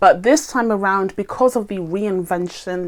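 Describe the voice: At a moderate pace, a woman speaks at medium pitch with ordinary pitch variation.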